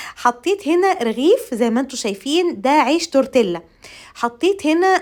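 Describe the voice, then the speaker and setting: Recorded very cleanly with a silent background, a woman speaks at a moderate pace with very wide pitch swings. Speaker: home cooking vlogger. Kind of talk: cooking tutorial voiceover. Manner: halting with repeated fillers.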